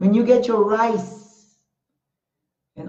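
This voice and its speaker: Her words come at a very slow pace as this woman speaks. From Panama. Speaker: talk show host. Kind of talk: motivational talk. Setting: Facebook Live stream. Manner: impassioned.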